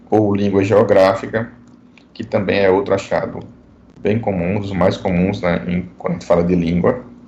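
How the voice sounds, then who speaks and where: The pitch varies in an ordinary way, and room echo can be heard. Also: man, fairly low pitch for a man. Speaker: dentistry professor. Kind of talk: online lecture. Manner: fast.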